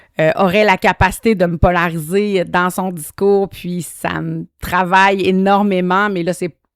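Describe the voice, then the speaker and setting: A woman's medium-pitched, monotone voice with a Quebec accent, fairly slow and hardly pausing, in a dry, close sound with no echo. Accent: Québécois French. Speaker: podcast host. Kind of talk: solo monologue podcast. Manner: hesitant, many fillers.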